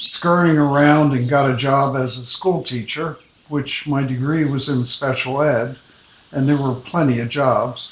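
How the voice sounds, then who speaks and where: Fairly slow, fairly evenly intoned speech from a man with a fairly high pitch, amid noticeable background noise. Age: 70s. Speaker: retired teacher. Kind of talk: personal storytelling. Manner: conversational.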